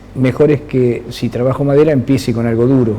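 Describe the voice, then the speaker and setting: Speech at a moderate pace comes through over noticeable background noise. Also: man. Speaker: sculptor. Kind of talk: interview.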